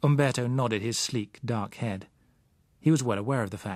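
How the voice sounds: Here a man speaks at a moderate pace and a medium pitch. His tone is slightly mellow, with ordinary pitch variation.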